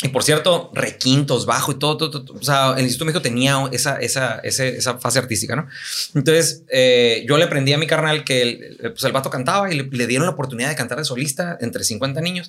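Noticeable background noise runs under a man who talks at a very fast pace. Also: ordinary pitch variation. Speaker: orthodontist. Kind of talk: casual chat.

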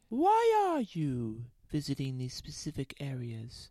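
A woman's put-on character voice, very deep and low, at a fairly slow pace, in a very clean recording with a silent background. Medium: audio drama. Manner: stern, formal.

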